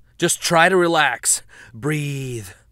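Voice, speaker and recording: Doing a put-on character voice, a man projects a raised, fairly high voice with lively intonation. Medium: read story. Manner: reassuring under strain.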